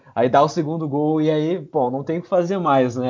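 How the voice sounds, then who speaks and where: A man talks with fairly even intonation. His is an unremarkable speaking voice. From southern Brazil, Rio Grande do Sul. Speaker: football fan podcast guest. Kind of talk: casual chat.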